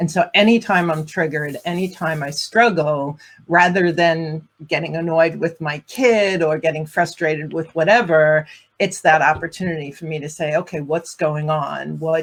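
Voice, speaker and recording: A woman's fairly low-pitched voice at a moderate pace, with fairly even intonation and a normal speaking voice. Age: 50s. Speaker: relationship and divorce coach. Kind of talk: casual panel discussion.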